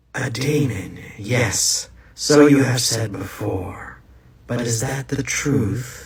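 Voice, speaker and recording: In a put-on character voice, a man speaks at a very slow pace with medium pitch and a slight echo. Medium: comedy sketch. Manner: cold, taunting, questioning.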